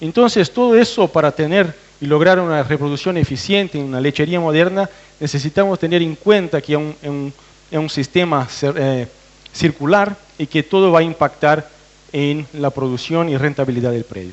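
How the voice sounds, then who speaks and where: A fairly high male voice with ordinary pitch variation over noticeable background noise. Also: moderate pace. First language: Portuguese (speaking Spanish). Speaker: veterinarian researcher. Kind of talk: technical presentation to farmers. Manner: hesitant, with fillers and restarts.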